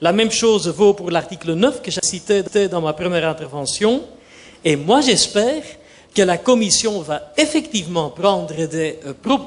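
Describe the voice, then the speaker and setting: A man with a Dutch accent speaks at a high pitch and a fairly slow pace, his pitch swinging very widely over noticeable background noise. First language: Dutch (speaking French). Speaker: judge. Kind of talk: panel debate. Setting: conference forum. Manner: formal.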